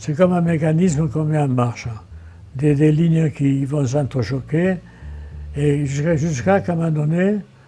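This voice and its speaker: With music in the background, a man with a fairly high pitch speaks at a moderate pace and ordinary pitch variation. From Marseille, France. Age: 80s+. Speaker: painter and visual artist. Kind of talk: interview answer.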